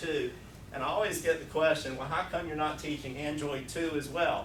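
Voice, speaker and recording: A man with a Southern US accent and a fairly high pitch, amid audible room echo and noticeable background noise. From US South. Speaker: programming instructor. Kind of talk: technical presentation. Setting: user group meeting with audience.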